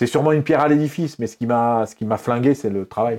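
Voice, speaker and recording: Very rapid speech comes from a man, with normal rises and falls in pitch. The background is silent and the recording very clean. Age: 50s. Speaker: former radio journalist and rap radio host. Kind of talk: interview.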